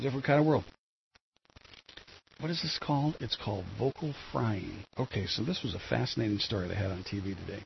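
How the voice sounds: At a fairly quick pace, a man speaks at fairly low pitch with ordinary pitch variation, a gravelly, husky, rough edge and vocal fry.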